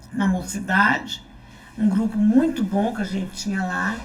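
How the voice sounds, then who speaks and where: A woman speaks at a medium pitch and a moderate pace. There is audible echo from the room. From Brazil, Goiás (Anápolis area). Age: 70s. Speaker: church member and small-group leader. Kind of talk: testimony.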